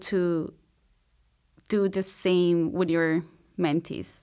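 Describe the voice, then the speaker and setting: Speaking with a Spanish accent at a very slow pace, a woman keeps fairly even intonation on a very clean recording with a silent background. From Colombia, Bogota. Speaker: PhD student. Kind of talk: interview.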